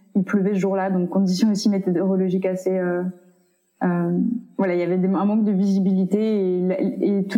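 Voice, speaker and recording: Delivered at a moderate pace in a monotone, flat intonation, the speech carries noticeable background noise and audible room echo. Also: woman. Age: 20s. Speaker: activist and PhD student. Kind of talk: interview. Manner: hesitant, many fillers.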